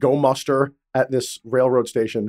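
This man's voice sits at a medium pitch with fairly even intonation, captured on a very clean recording with a silent background. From Puerto Rico. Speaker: podcast host. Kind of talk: interview about books. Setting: live at a book fair.

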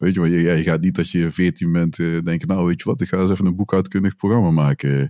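Very fast and very even in loudness, a man speaks in a very deep, low pitch with ordinary pitch variation. His tone is dark and mellow, and the sound is dry and close with no echo. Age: 40s. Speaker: podcast host, developer. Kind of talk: casual tech podcast chat. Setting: remote online recording.

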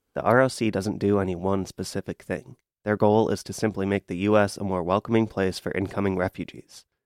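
A man's fairly low, monotone, flat delivery at a fairly quick pace, dry and close with no echo on a very clean recording with a silent background. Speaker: student radio reporter. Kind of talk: scripted narration.

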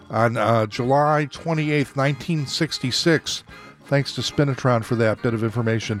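Noticeable background noise behind a man's fairly slow, medium-pitched speech with ordinary pitch variation. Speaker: radio host. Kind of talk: radio DJ patter. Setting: live radio studio. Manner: relaxed, upbeat, friendly; chatty, music-nerd enthusiasm.

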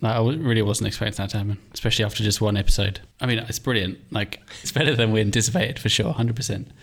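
A man talks very fast at a medium pitch with ordinary pitch variation. His voice is somewhat breathy. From England. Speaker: podcast co-host and indie founder. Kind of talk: casual chat.

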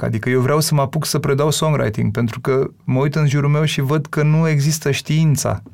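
A man speaks in a plain, everyday voice at a moderate pace, his intonation fairly even. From Romania, Bucharest. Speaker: singer and songwriter. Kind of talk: casual interview.

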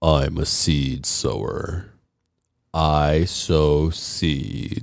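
A man's put-on character voice, very deep and low, at a very slow pace

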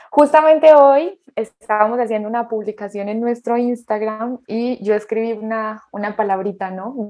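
At a moderate pace and fairly high pitch, a woman speaks in a dark, mellow tone with ordinary pitch variation, big swings in loudness and hardly any pauses. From Colombia, Pereira. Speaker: podcast co-host, couples therapist. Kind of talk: casual chat.

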